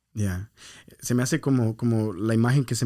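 The recording is very clean, with a silent background. A man at medium pitch talks at a moderate pace in a monotone, flat intonation. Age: 30s. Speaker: podcast host, church minister. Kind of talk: casual chat. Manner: code-switching, hesitant with fillers.

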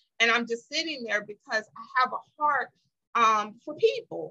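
Raised and projected, a woman's high-pitched voice carries a bright, sharp tone at a fairly slow pace. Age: 40s. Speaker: businesswoman and motivational speaker. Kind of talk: casual chat.

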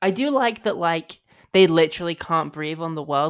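A woman with a British accent and a very deep, low pitch, talking at a fairly quick pace on a very clean recording with a silent background. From Britain. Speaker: film writer, podcast guest. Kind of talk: casual chat.

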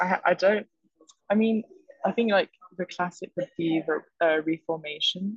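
With long, frequent pauses, a woman talks at a moderate pace in a somewhat breathy, medium-pitched voice, recorded with a dry, close sound and no echo. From French-English, raised abroad. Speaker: fashion management student. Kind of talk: podcast interview.

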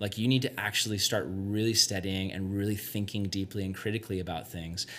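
In an ordinary speaking voice, a man talks fairly quickly at a fairly low pitch. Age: 20s. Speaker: youth pastor. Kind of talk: casual chat. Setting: youth retreat.

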